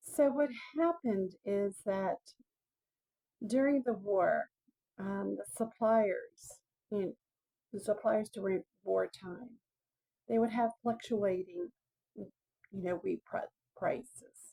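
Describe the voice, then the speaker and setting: A loud woman's voice, dark and mellow, with lively intonation, a dry, close sound with no echo, long, frequent pauses and a very slow pace. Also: medium pitch for a woman. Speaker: video blogger. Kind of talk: casual monologue on history. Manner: halting, many fillers; talking loudly to be heard.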